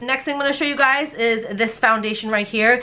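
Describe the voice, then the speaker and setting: Fairly high-pitched woman's voice over noticeable background noise. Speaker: beauty youtuber. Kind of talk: product review haul. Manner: animated.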